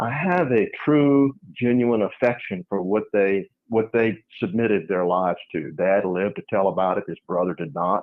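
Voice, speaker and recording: Using a plain, everyday voice, a man speaks at a moderate pace with fairly low pitch and lively intonation. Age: 60s. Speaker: landowner and businessman. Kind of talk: interview.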